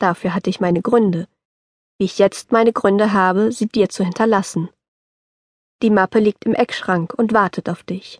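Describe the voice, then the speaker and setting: Her intonation fairly even, a woman speaks at a moderate pace with long, frequent pauses. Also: medium pitch for a woman. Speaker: audiobook narrator. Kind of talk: scripted audiobook narration, reading a letter aloud in an elderly grandfather's voice. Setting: studio.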